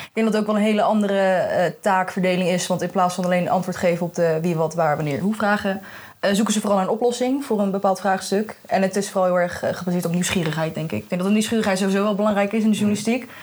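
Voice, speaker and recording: Barely pausing at all, a woman speaks at a very fast pace and a medium pitch. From Netherlands, The Hague. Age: young. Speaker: journalism student. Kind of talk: casual chat. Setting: festival podcast recording.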